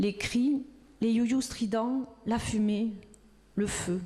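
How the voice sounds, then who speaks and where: Her tone dark and mellow, a woman speaks with fairly even intonation and a somewhat breathy quality. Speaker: reader. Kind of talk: reading of a witness testimony.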